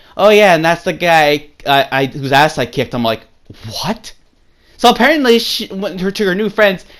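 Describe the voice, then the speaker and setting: A man talks at a fairly quick pace in a high voice, animated, with lively intonation. The recording is very clean, with a silent background. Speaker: YouTuber telling personal stories. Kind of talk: casual storytelling. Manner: stuttering, self-correcting; rambling, animated.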